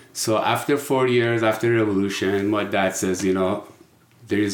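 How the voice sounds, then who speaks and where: Speaking at a moderate pace, a man with a fairly low pitch talks in a Persian accent. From Iran. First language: Persian (Farsi). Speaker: person in addiction recovery. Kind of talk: interview.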